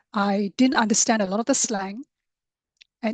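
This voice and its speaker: A somewhat breathy, fairly high-pitched woman's voice at a moderate pace, with ordinary pitch variation and a dry, close sound with no echo. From Singapore. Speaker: coach for introverts. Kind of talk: interview.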